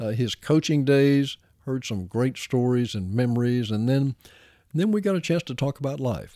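The sound is dry and close with no echo as a man speaks in a dark, mellow tone at a medium pitch. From Arkansas. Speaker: sports broadcaster. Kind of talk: scripted narration.

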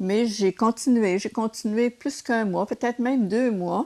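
A woman with a Quebec accent talks with ordinary pitch variation in a dry, close sound with no echo. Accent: Québécois French. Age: 70s. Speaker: retired nurse and race walker. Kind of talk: interview.

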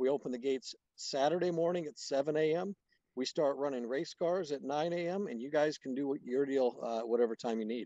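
A man's dark, mellow voice, fairly high in pitch, at a moderate pace with ordinary pitch variation, in a dry, close sound with no echo. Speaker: race track promoter and drag racer. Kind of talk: casual interview chat.

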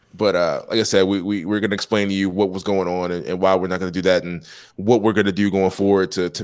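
Very deep and low in pitch, a man talks at a very fast pace with monotone, flat intonation and hardly any pauses, in a very clean recording with a silent background. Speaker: podcast host. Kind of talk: casual chat. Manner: casual, laughing.

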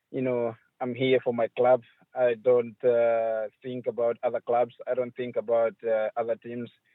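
A man speaks at medium pitch and a moderate pace. His intonation stays monotone and flat. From Zambia, Chipata. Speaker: professional footballer. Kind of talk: interview.

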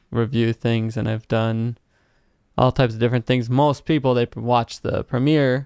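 A man talks at a fairly slow pace in a clear, smooth, slightly mellow tone.

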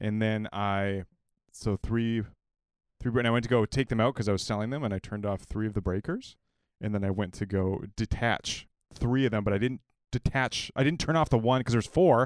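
On a very clean recording with a silent background and a dry, close sound with no echo, a man speaks fairly quickly at a fairly low pitch with ordinary pitch variation. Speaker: podcast host. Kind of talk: casual chat. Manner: halting, filler-heavy.

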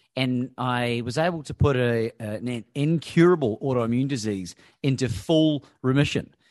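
This man has an unremarkable speaking voice at a medium pitch. He speaks at a moderate pace with ordinary pitch variation. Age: 40s. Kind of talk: interview.

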